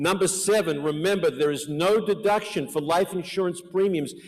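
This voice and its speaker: A man with an American accent speaks at a moderate pace in a voice that sits high in pitch. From Australia (Melbourne). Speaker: life insurance and financial planning expert, conference speaker. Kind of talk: conference presentation. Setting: conference hall with audience.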